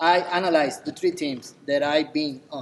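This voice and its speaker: The speaker has a Spanish accent and talks at a moderate pace. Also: man. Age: 40s. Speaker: assistant coach. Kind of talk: banquet speech.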